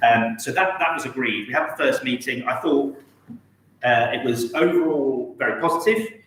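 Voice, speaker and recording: With an English accent, a man talks at a moderate pace in a fairly high pitch, his intonation lively, while noticeable background noise and audible room echo come through. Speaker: town councillor. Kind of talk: council meeting report. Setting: council chamber, live-streamed.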